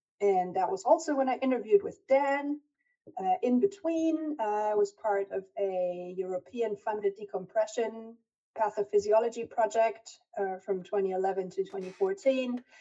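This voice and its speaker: This woman speaks with a German accent. Her pitch sits fairly high. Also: lively intonation, moderate pace. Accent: German-tinged English. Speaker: diving research scientist. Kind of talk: lecture.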